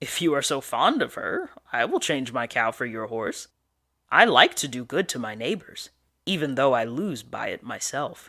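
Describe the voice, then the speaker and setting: A put-on character voice delivers the lines at a moderate pace. The recording is very clean, with a silent background. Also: man, medium pitch for a man. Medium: read story. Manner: mock-generous.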